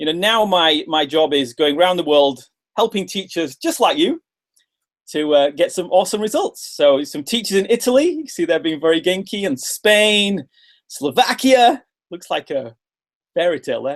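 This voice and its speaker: A man's high-pitched voice with a British accent and very wide pitch swings. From England. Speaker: English teacher trainer. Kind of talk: webinar presentation. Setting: video webinar. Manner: fast; animated.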